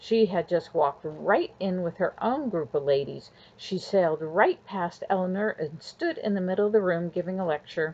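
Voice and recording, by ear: Someone reading aloud in a natural voice, pitch rising and falling in an ordinary way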